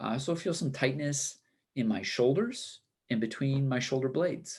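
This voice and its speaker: A man of medium pitch with ordinary pitch variation, a moderate pace and a quiet background. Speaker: high school teacher and wellness speaker. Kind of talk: presentation.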